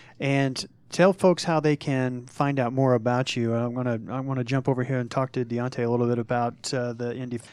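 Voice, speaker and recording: A man talks at a fairly quick pace in a medium pitch, his intonation fairly even. He has an unremarkable speaking voice. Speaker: radio host. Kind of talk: radio interview. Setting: studio.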